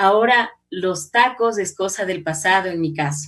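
Music plays behind a woman as she talks. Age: 50s. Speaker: journalist and radio announcer. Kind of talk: casual interview. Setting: video call.

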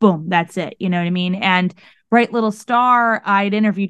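A woman's voice comes through dry and close, without echo. The background is quiet. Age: 20s. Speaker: singer and podcaster. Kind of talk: casual interview. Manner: animated.

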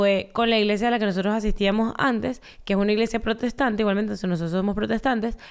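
With fairly even intonation, a woman talks at a very fast pace in a fairly high pitch. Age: 20s. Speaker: podcast co-host. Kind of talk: casual chat.

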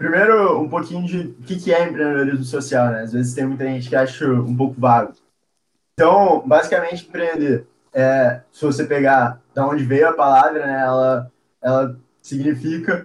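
Fairly high-pitched, a man talks at a moderate pace. He has an unremarkable speaking voice. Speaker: university student and social entrepreneur. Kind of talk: casual interview.

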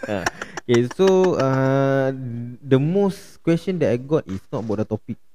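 A man talks at a very slow pace, his pitch swinging very widely. Noticeable background noise is audible. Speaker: podcast host. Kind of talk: casual chat. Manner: animated.

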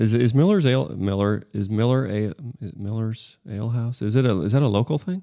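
A man with an American accent speaks at a medium pitch and a fairly quick pace. His tone is dark and mellow, and his intonation is lively. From northern US. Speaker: podcast host. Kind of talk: casual chat.

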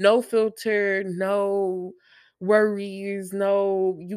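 On a very clean recording with a silent background, a woman speaks at medium pitch in an animated tone. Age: 20s. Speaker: podcast host and college student. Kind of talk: casual solo monologue.

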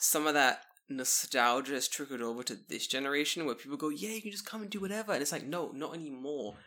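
A man speaks with a London accent and lively intonation. His tone is bright and sharp. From London, England. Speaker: podcast guest, expat in Japan. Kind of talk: casual chat.

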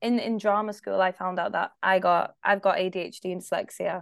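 A woman with a Scottish accent talks at a moderate pace against a quiet background. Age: 20s. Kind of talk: casual chat.

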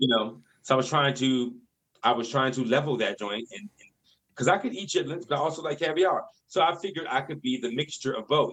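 A man speaks in an unremarkable speaking voice, with an American accent, a fairly high pitch, ordinary pitch variation and a fairly quick pace. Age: 40s. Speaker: director and choreographer. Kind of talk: casual chat.

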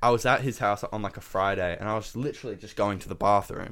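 This man has an Australian accent and a fairly low pitch, speaking at a fairly quick pace. The intonation is fairly even, and the recording is very clean over a silent background. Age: young. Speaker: podcast co-host. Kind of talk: casual chat.

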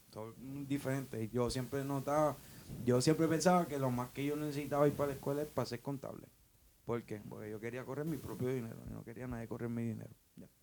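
A man delivers his words very fast, at medium pitch, with fairly even intonation. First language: English (speaking Spanish). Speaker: co-worker guest. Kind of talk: casual chat.

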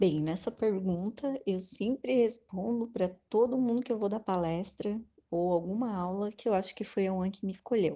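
A woman speaks at a moderate pace in a plain, everyday voice. Her pitch is medium, with ordinary pitch variation. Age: 30s. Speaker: hospital nutritionist. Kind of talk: interview.

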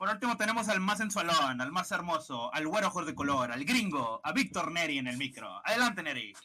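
A man with high pitch, very wide pitch swings, a fairly quick pace and hardly any pauses. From Nuevo León, Mexico. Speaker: podcast co-host. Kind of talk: casual chat.

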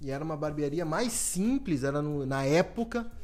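A man speaks with music in the background. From Brazil, Porto Alegre (Rio Grande do Sul). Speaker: barber and podcast host. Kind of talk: promotional announcement; casual chat.

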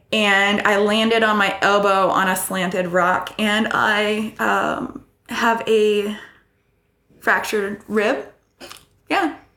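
A woman with an American accent speaks very slowly at a medium pitch, using a bright, sharp tone and very even loudness, with long, frequent pauses and audible room echo. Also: fairly even intonation. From US Midwest, Iowa. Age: 30s. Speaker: backpacker. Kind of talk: interview.

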